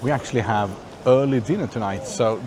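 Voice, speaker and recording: Noticeable background noise sits behind the speech. The pitch variation is ordinary. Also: man. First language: not English. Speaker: travel vlogger. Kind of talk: casual vlog commentary. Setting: outdoors. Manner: halting.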